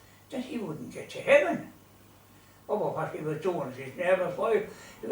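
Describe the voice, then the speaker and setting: At a moderate pace, a man talks in a Limerick accent. Noticeable background noise sits behind him. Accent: Irish, Limerick. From Ireland. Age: 80s+. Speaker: storyteller. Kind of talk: humorous storytelling to an audience.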